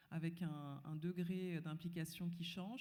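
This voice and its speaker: This woman's voice is fairly low and somewhat breathy. It has a dark, mellow tone. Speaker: panelist. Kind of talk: panel discussion.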